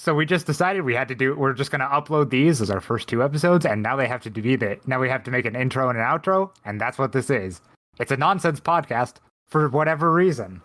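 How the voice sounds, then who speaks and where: Over a silent background in a very clean recording, a man speaks very fast with medium pitch and lively intonation. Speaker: podcast co-host. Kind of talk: casual chat. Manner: loud.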